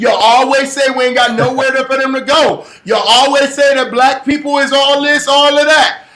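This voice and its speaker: A man speaks at a moderate pace in a raised, projected voice with an extremely high pitch. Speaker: livestream show host. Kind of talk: live-streamed interview. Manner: loud; animated.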